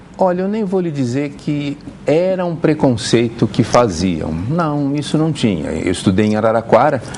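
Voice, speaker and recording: Over noticeable background noise, a man talks at a moderate pace with a fairly high pitch and very wide pitch swings. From Brazil, Santos, São Paulo state. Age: 60s. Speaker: pharmacy professor. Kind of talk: TV interview. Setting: TV studio with audience.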